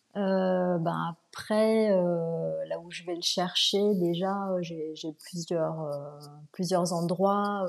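A woman with a fairly low pitch talks at a very slow pace in a monotone, flat intonation. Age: 40s. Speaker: furniture restorer, former podiatrist. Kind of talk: interview. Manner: hesitant, many fillers.

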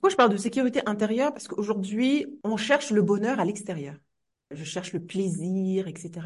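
Somewhat breathy, a woman speaks at a medium pitch and moderate pace with lively intonation. Her loudness swings widely. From Comoros. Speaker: teacher and trainer. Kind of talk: podcast interview.

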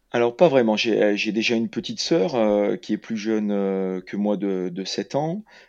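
A man with a fairly low pitch and ordinary pitch variation, at a fairly slow pace with hardly any pauses, against a quiet background. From France, Lyon area. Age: 40s. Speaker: ultra trail runner and PE teacher. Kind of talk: interview. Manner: halting, repeats words.

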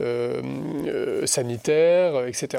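A man speaks in an unremarkable speaking voice at medium pitch. His intonation is lively. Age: 40s. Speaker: senior civil servant and Bitcoin advocate. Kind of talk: interview.

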